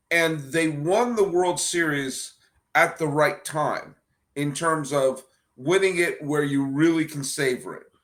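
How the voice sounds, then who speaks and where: A man speaks with a fairly high pitch. His pace is fairly slow. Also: ordinary pitch variation. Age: 50s. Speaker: baseball podcast host. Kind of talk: podcast interview. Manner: animated.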